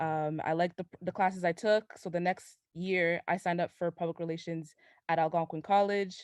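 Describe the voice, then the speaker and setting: A woman with a fairly low pitch talks at a fairly quick pace with ordinary pitch variation, in a dry, close sound with no echo. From Ottawa-Gatineau, Canada. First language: French. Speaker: communications assistant. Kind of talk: interview. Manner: casual, many filler words.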